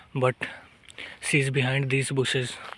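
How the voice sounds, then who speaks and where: A man's fairly high voice at a fairly slow pace, monotone and flat, dry and close with no echo, noticeable noise in the background. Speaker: nature vlogger. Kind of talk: walking vlog narration. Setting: outdoors in forest. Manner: quiet, speaking softly.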